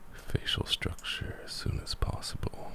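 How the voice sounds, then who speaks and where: Whispering over noticeable background noise. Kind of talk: ASMR gaming commentary. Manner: soft-spoken.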